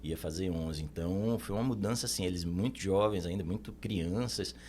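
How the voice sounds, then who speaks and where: With a Recife accent, a man speaks at a moderate pace in a very deep, low pitch, his tone dark and mellow and his pitch variation ordinary. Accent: Northeastern Brazilian (Recife). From Brazil, Recife (Northeast). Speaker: accountant. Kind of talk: podcast interview.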